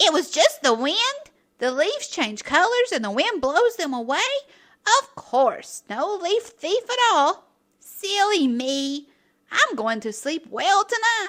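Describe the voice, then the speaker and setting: A woman's squeaky put-on character voice, raised and projected, at an extremely high pitch and a fairly slow pace, with very wide pitch swings and big swings in loudness. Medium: read story. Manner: excitable.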